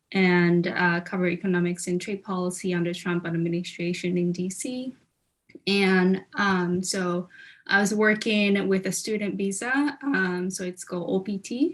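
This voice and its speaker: A woman with a Japanese accent speaks at a moderate pace, her medium pitch showing ordinary variation. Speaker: legal policy specialist, alumna panelist. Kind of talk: career panel talk. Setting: video call from Japan. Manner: halting, many fillers.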